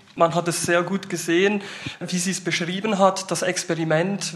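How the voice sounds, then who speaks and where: A man's high-pitched, monotone, flat delivery over noticeable background noise. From Switzerland, Basel-Landschaft. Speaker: youth worker. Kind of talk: panel discussion.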